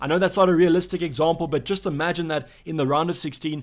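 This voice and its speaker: Very fast speech from a man, high in pitch. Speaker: fantasy football YouTuber. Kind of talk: casual video commentary.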